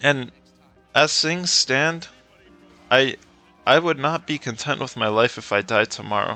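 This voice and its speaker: Music plays in the background as a man talks at a fairly slow pace, leaving long, frequent pauses. His pitch is fairly high, with ordinary variation. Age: 20s. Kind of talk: casual rant over gameplay. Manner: rambling, hesitant.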